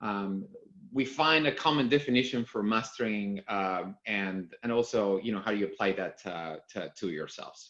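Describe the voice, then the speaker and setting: Speaking at a moderate pace with a Spanish accent, the voice shows ordinary pitch variation. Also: man, fairly low pitch for a man. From Argentina. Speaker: company executive. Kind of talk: conference talk. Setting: video call. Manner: halting, many fillers.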